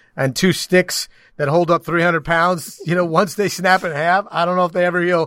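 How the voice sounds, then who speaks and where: A loud voice comes at a fairly quick pace in a very clean recording with a silent background and a dry, close sound with no echo. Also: man. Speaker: sports broadcaster and co-host. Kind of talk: casual sports banter podcast. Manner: loud, opinionated.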